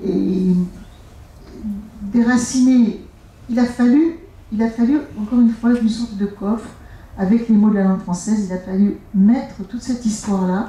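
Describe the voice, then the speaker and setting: Fairly slow speech with long, frequent pauses and fairly even intonation. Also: woman, fairly high pitch for a woman. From Algeria. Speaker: author. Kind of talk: author talk. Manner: halting.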